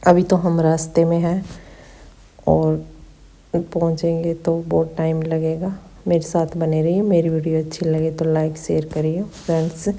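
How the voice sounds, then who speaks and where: This woman has a fairly low pitch. She speaks with monotone, flat intonation. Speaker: vlogger. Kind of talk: travel vlog narration. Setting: on a bus. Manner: casual.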